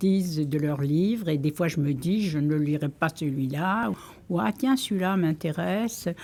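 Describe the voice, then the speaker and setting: A woman with a very deep, low voice speaks with ordinary pitch variation. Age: 80s+. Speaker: library user, retiree. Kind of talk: interview testimony. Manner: hesitant.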